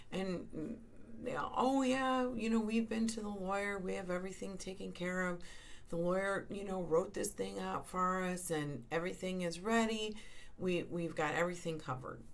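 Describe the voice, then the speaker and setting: A woman at a medium pitch and moderate pace, ordinary pitch variation, audible room echo. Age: 60s. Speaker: end-of-life doula. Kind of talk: podcast monologue. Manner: conversational, with many fillers.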